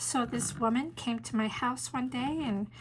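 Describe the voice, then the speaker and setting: The woman's pitch is fairly high and varies in an ordinary way. She has an ordinary speaking voice. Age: 60s. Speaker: pastor and painting teacher. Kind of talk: testimony; tutorial. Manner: casual, warm.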